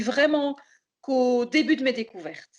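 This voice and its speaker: At a moderate pace, a woman speaks with high pitch. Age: 60s. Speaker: florist giving a customer testimonial. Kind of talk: testimony. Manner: hesitant, many fillers and repetitions.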